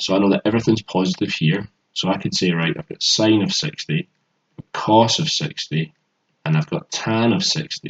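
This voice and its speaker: In a Glaswegian accent, a man speaks at a moderate pace with a fairly low pitch. His voice is somewhat breathy and swings very widely in pitch. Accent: Glaswegian Scottish. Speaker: maths tutor. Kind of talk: tutorial.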